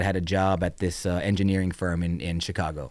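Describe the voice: In a very clean recording with a silent background, a man speaks at a moderate pace with a clear, smooth tone.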